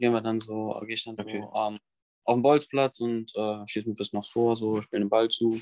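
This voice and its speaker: The dry, close sound with no echo carries a man speaking at a fairly quick pace and medium pitch. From western Germany, near Bonn. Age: young. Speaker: fitness influencer, trainee physiotherapist. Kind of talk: interview. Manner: hesitant, many fillers.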